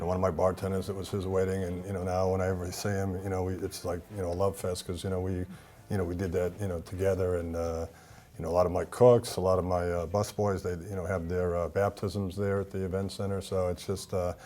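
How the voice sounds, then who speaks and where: In a Boston accent, a man talks very fast in a flat monotone, his very deep, low voice dark and mellow in tone. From US Northeast, Boston. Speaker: event venue owner. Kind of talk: TV talk show interview. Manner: halting, many fillers and repetitions.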